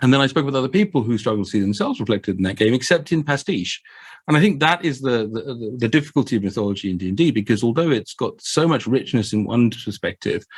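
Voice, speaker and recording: Over a very clean recording with a silent background, a man with a south London accent talks at a very fast pace with lively intonation. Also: medium pitch for a man. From England, Croydon (south London). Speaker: game master and podcast guest. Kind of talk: casual discussion. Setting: podcast recording. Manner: hesitant, many fillers and repeats.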